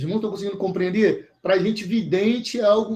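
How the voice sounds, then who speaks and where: A man talks with a high pitch. His pitch varies an ordinary amount. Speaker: bible teacher. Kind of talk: online bible class. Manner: fast.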